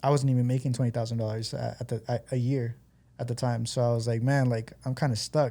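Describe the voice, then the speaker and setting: Very fast and somewhat breathy, a man speaks at a medium pitch in a dark, mellow tone with monotone, flat intonation. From Guatemala, moved to California at 15. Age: 30s. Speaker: entrepreneur. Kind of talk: podcast interview. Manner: casual, with many fillers.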